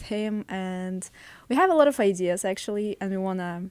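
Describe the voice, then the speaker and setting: Speaking in a Russian accent at a moderate pace, a woman has a medium pitch and ordinary pitch variation in a very clean recording with a silent background. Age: 20s. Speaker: podcast guest, host's girlfriend. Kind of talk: casual podcast chat.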